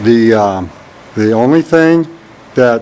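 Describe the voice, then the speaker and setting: Noticeable background noise fills the recording. Through it, a man speaks at a fairly slow pace. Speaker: college instructor. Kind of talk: classroom tour walkthrough. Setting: empty classroom. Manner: monotone; halting, many fillers.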